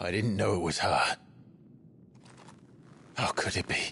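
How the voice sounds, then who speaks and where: A man puts on a character voice at a very deep, low pitch. He moves at a moderate pace. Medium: video game. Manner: grave, restrained.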